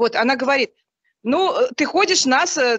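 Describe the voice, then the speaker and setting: A woman with a high pitch and lively intonation speaks in a raised, projected voice at a moderate pace, her tone bright and sharp against a quiet background. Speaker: mother of two sons, churchgoer. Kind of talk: question to a religious teacher. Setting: online group call. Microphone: video call.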